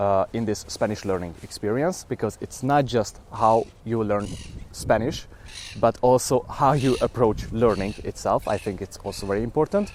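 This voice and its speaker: A man with a Hungarian accent, his intonation lively. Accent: Hungarian accent in English, noticeable. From Hungary. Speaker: language learning vlogger. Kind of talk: documentary-style talk to camera. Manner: hesitant, with fillers.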